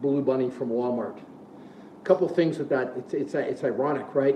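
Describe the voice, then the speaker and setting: A man at a moderate pace with ordinary pitch variation, amid audible room echo and light background noise. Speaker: fitness coach. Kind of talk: casual live-stream talk. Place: gym. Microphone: phone near.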